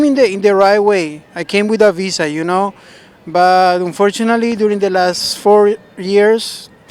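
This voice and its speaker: With a Spanish accent, a man talks at a fairly slow pace in a high voice with fairly even intonation over noticeable background noise. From Colombia (Bogotá). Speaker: member of the public interviewed. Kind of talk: street interview. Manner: hesitant, with restarts and fillers.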